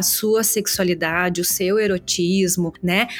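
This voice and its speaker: Music in the background behind a woman talking at a fairly slow pace. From southern Brazil, Serra Gaúcha (Caxias do Sul). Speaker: physician, gynecologist. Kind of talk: interview.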